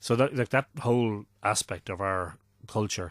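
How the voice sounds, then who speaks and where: A man with an Irish accent, very slow in pace, on a very clean recording with a silent background and a dry, close sound with no echo. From Ireland, Drogheda. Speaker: mythology and ancient sites researcher. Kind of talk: podcast interview.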